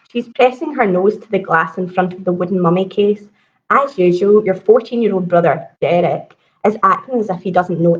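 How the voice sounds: A natural reading voice comes through with ordinary pitch variation over a quiet background.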